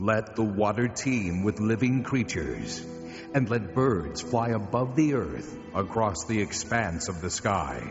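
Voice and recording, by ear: A man's put-on character voice, slow and with few pauses, big pitch swings, and clear music in the background. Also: fairly low pitch for a man.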